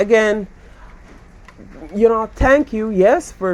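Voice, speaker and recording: A man talks at a fairly slow pace. His voice is high in pitch. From Belize. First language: Garifuna. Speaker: YouTuber. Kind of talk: casual chat.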